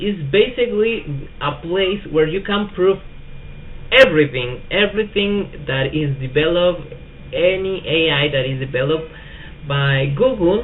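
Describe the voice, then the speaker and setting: With a Spanish accent, a man speaks high and fairly slowly with lively intonation over noticeable background noise. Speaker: tech youtuber. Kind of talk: tutorial. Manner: hesitant, many fillers.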